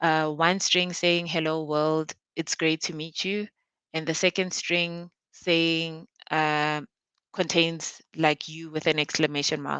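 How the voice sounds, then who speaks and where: A woman with a very deep, low pitch and a bright, sharp tone speaks at a very slow pace in a monotone, flat intonation against a quiet background. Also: dry, close sound with no echo. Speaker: conference speaker. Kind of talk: technical presentation. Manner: halting.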